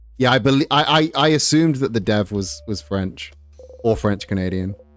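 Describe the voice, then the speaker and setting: A man speaks in a normal speaking voice at a medium pitch. His pace is moderate and his intonation lively. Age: 30s. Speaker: gaming streamer. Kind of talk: casual chat.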